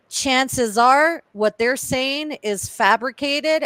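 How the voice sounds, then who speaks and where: A woman speaks with lively intonation. The recording is very clean with a silent background, the sound dry and close with no echo. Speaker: YouTube livestream host. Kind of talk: casual livestream panel chat.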